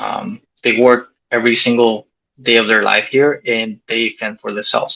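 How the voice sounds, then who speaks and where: In a dry, close sound with no echo, a man talks at a fairly slow pace. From Mexico, raised in US. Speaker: soldier and former missionary. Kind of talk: interview testimony.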